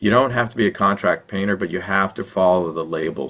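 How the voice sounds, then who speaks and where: At a fairly quick pace, a man speaks with a fairly low pitch. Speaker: wildfire mitigation consultant and presenter. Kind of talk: webinar Q&A answering audience questions. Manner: fast.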